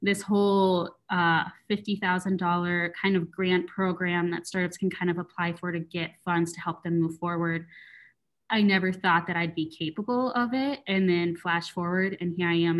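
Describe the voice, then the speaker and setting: A woman with an American accent has an unremarkable speaking voice, fairly low in pitch and fairly even in intonation. She speaks at a moderate pace on a very clean recording with a silent background. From West Michigan, US. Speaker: marketing coordinator. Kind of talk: interview.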